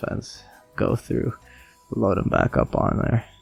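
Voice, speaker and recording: A man in a dry, close sound with no echo, with music in the background. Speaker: podcast host. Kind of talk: casual monologue.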